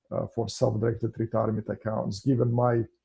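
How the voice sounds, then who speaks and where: The voice has a dark, mellow tone, a Russian accent and vocal fry at a moderate pace. The sound is dry and close with no echo. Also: man. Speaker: financial services founder and real estate investor. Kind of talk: podcast interview. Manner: hesitant, many filler sounds.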